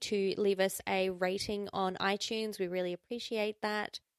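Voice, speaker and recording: A woman at medium pitch and a moderate pace, in a dry, close sound with no echo. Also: hardly any pauses. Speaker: podcast host. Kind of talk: casual chat. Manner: animated.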